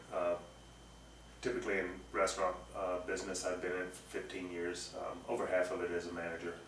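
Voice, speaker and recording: A man with a Southern US accent speaks at a fairly quick pace in a very deep, low pitch, with noticeable background noise and audible room echo. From US South (Texas, Arkansas). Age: 40s. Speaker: climbing guide and instructor. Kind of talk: personal introduction to camera. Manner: hesitant, many fillers.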